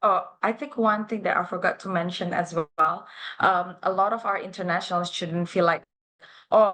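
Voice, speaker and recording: This voice has a bright, sharp tone and an Indonesian accent. It moves at a moderate pace with ordinary pitch variation. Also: woman, medium pitch for a woman. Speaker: university international officer. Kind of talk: live interview. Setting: livestream. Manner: hesitant, many fillers.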